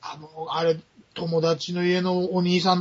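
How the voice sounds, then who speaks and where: A man speaks at a high pitch in a monotone, flat intonation. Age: middle-aged. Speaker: podcast guest, film buff. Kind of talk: casual chat.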